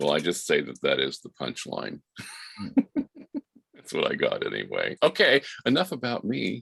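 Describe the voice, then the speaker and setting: A man speaks at a moderate pace with big swings in loudness and long, frequent pauses, recorded with a dry, close sound and no echo. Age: 60s. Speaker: discussion participant. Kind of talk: casual chat.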